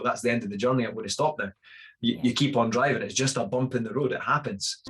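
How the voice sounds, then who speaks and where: In a Scottish accent, a man talks at a very fast pace. His pitch is medium. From Scotland, Fife. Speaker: fitness coach. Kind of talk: podcast interview. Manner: hesitant, many fillers.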